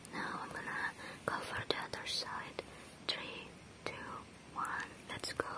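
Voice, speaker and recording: The pace is very slow as the speaker whispers. Pauses are long and frequent. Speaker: ASMR creator. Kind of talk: ASMR trigger video, soft whispered talk to camera. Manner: soft whisper. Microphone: lapel.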